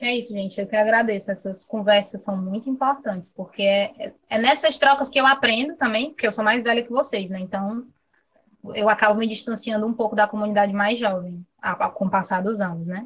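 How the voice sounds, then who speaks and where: Using a plain, everyday voice, a woman speaks fairly quickly at fairly high pitch with ordinary pitch variation. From Brazil, Fortaleza (Ceará). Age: 20s. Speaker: marine biologist. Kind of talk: interview.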